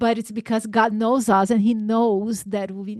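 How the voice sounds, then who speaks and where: A woman with a non-native accent speaks at a moderate pace, her pitch fairly high. The sound is dry and close with no echo, over a quiet background. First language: not English. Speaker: youth ministry leader. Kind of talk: church discussion panel.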